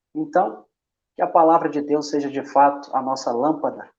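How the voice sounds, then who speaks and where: Speaking with a Minas Gerais accent, a man talks at a fairly quick pace in a fairly high voice with ordinary pitch variation. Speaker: bible study group administrator. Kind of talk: casual chat.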